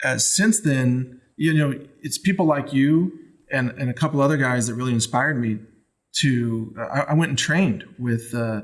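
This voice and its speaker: A normal speaking voice with an American accent moves at a moderate pace and shows ordinary pitch variation. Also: man, medium pitch for a man. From Texas. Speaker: podcast host. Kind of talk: casual interview chat. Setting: studio.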